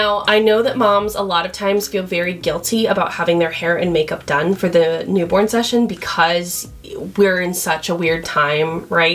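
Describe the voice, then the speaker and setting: Noticeable noise sits in the background. Over it, a woman talks at a moderate tempo. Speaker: newborn photographer. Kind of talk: tutorial. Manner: loud; casual and conversational.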